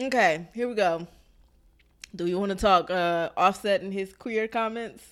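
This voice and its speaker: In a very clean recording with a silent background, a plain, everyday voice with an American accent speaks at a fairly slow pace with ordinary pitch variation. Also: woman, medium pitch for a woman. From Maryland, US. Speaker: podcast co-host. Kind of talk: casual chat.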